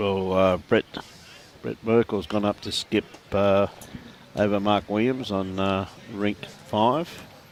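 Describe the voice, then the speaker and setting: A man with an Australian accent speaks at a very slow pace in a fairly low voice, his intonation fairly even, with long, frequent pauses and noticeable background noise. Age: 60s. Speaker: lawn bowls commentator. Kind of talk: live sports commentary. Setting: livestream at a bowls club. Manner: casual, bantering.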